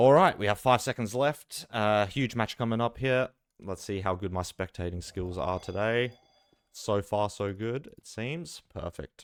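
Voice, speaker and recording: With an Australian accent, the speaker goes at a fairly slow pace with ordinary pitch variation and big swings in loudness, in a dry, close sound with no echo on a very clean recording with a silent background. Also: man, fairly low pitch for a man. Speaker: esports caster. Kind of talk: live commentary. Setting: live stream. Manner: casual, filler-heavy.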